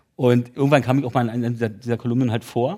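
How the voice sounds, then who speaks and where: In a dark, mellow tone with fairly even intonation, a man talks at a very fast pace. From East Berlin (Köpenick). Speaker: author. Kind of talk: casual interview chat.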